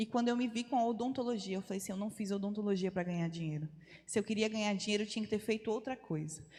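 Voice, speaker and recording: Very fast speech comes in a somewhat breathy voice with ordinary pitch variation. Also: woman. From Brazil, Rondônia (North). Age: 30s. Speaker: missionary. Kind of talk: testimony. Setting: church.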